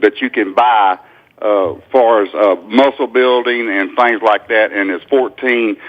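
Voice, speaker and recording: In a normal speaking voice, a man of medium pitch talks at a fairly slow pace with fairly even intonation. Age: 60s. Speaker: caller. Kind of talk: radio call-in question. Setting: phone call.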